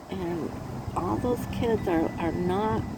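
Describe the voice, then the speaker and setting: Medium-pitched woman with an American accent, a dark, mellow tone and vocal fry. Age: 70s. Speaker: crafter vlogger. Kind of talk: casual chat. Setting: outdoors. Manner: halting.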